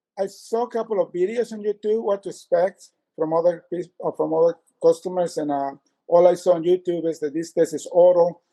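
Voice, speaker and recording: A man's high-pitched voice with a dark, mellow tone, fairly even intonation and a fairly quick pace, in a dry, close sound with no echo. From Latin America. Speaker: consumer giving a complaint review. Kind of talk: interview testimony. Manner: halting, many fillers and restarts.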